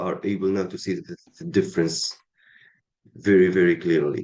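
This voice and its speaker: Talking at a fairly slow pace, a man with an Arabic accent has a dark, mellow tone. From Tunisia. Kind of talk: interview. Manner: halting, many fillers.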